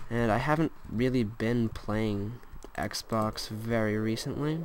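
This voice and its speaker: Audible room echo colors the recording. A man talks at a medium pitch. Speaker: gaming YouTuber. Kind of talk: gameplay commentary. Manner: mumbling at times; casual. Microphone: laptop mic, quiet audio.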